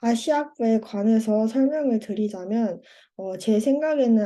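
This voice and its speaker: Against a quiet background, a woman with a fairly high pitch and a dark, mellow tone speaks fairly slowly with ordinary pitch variation. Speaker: university student. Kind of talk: presentation. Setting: online seminar.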